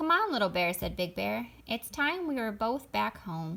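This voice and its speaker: A woman does a put-on character voice at medium pitch and a moderate pace. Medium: read story. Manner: calm, reassuring.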